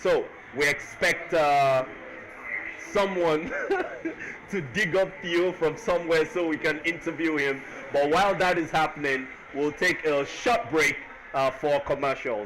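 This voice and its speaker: Speech comes at a fairly slow pace with ordinary pitch variation and long, frequent pauses, over noticeable background noise. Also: man, fairly high pitch for a man. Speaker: esports commentator. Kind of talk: post-match interview and stream commentary.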